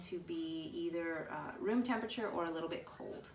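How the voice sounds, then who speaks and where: A woman with a fairly low pitch speaks at a moderate pace, and audible room echo surrounds her voice. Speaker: cooking channel host. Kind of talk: live cooking tutorial. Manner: hesitant with many fillers.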